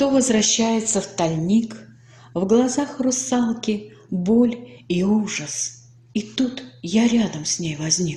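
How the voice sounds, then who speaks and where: A woman's medium-pitched voice, very slow and lively in intonation, with noticeable background noise. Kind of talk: poetry reading.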